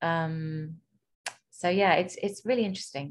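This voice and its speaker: Against a quiet background, a woman speaks. Her voice is fairly low with fairly even intonation. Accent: British. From UK. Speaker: podcast host and doula. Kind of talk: interview.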